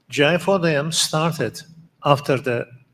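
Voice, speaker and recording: A man with a Turkish accent and ordinary pitch variation. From Turkey. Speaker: conference organizer. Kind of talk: conference speech. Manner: halting.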